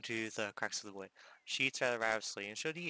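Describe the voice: The speaker does plain reading aloud with lively intonation.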